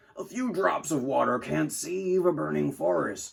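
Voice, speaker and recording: In a put-on character voice, a man sounds raspy. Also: moderate pace. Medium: read story.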